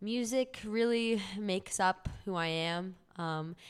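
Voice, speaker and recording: Very clean recording, silent background, and a woman's voice with an American accent. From Southern California, Orange County. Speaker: music student. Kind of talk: casual chat.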